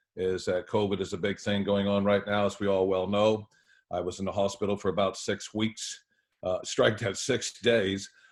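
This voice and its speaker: The speaker is a man with a fairly low pitch. The background is quiet. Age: 60s. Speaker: lawyer and judicial candidate. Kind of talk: interview. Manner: halting, many fillers.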